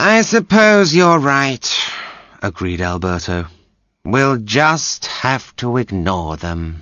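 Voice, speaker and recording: A man's put-on character voice at a very slow pace, with very wide pitch swings. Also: medium pitch for a man. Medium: read story. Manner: haughty.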